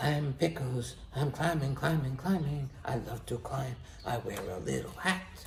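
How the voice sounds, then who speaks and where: A man's put-on character voice at medium pitch and moderate pace, with clear background noise. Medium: read story. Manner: interjects meows.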